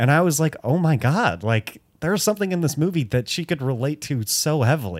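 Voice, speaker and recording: An unremarkable speaking voice with an American accent moves at a fairly quick pace with lively intonation and hardly any pauses, on a very clean recording with a silent background. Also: man, fairly high pitch for a man. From US Midwest (Detroit). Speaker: podcast co-host. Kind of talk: casual chat.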